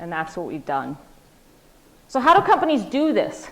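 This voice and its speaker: A woman's high-pitched voice. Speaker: corporate speaker at student event. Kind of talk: presentation to students. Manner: loud.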